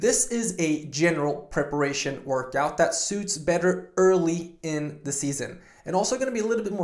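The recording has audible room echo over a quiet background. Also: man. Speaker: performance coach. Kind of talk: fitness vlog intro. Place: home room.

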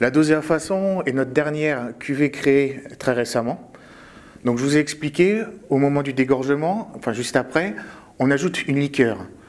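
Keeping a moderate pace and ordinary pitch variation, a man with an ordinary speaking voice sits fairly high in pitch. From France, Champagne region (Marne). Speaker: winemaker. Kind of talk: tutorial.

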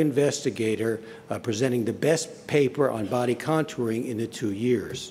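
Over light background noise, a man talks at a fairly slow pace in a dark, mellow tone. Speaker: association president. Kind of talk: conference welcome speech. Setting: stage with audience. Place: hall. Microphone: podium.

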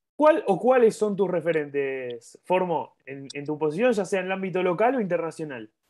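A man talks at a moderate pace with hardly any pauses, his pitch high for a man. His pitch swings very widely, and his loudness rises and falls in big swings. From Argentina. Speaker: sports channel interviewer. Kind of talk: interview. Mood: friendly, upbeat. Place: home room. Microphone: earbuds.

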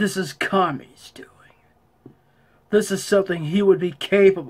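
A put-on character voice that sounds female

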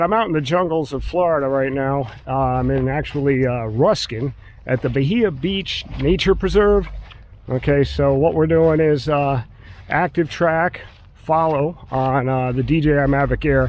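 A man at a fairly slow pace, dry sound with no echo. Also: ordinary pitch variation. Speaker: drone hobbyist vlogger. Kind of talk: casual vlog chat. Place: open country. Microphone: phone near.

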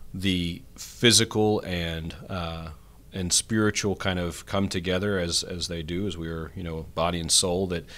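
A man's very deep, low voice with fairly even intonation, at a fairly slow pace. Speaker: priest podcast host. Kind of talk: podcast intro and discussion. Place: studio. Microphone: studio mic.

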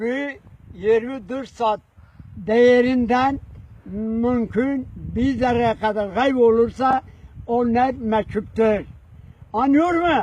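A man speaks at a very slow pace with long, frequent pauses, his pitch extremely high. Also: ordinary pitch variation. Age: 80s+. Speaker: village elder, former soldier. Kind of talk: storytelling, recounting a military memory.

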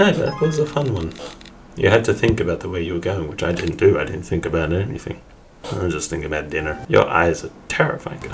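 A man speaks fairly quickly. Background music can be heard. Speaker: gamer. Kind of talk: gameplay commentary. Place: home room.

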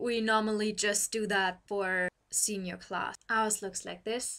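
A woman with a German accent, at a fairly slow pace. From Germany. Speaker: university student. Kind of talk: casual talk to camera. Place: home room. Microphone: webcam.

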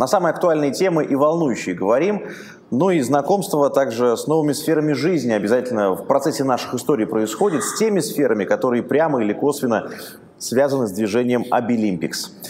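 With an unremarkable speaking voice, a man talks at a fairly quick pace and fairly high pitch, his intonation lively and light background noise behind him. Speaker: interviewer host. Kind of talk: interview. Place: studio. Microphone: lapel.

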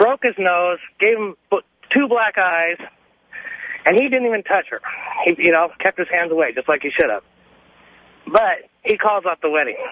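A man at a high pitch, with ordinary pitch variation, a moderate pace and long, frequent pauses. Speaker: caller. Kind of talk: call-in radio talk. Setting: phone call.

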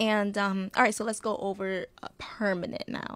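Moderately paced speech from a woman. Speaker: insurance agent and co-host; co-host. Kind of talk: casual educational chat. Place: studio. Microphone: studio mic.

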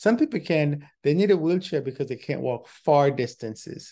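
A man speaks at a moderate pace in a dark, mellow tone over a quiet background. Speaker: travel show host. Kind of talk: casual explanatory talk. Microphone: webcam.

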